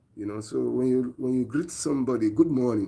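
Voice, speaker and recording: With a Nigerian accent, a man speaks at a moderate pace in a dark, mellow tone. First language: Nigerian language. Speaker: preacher. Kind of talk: live-stream sermon.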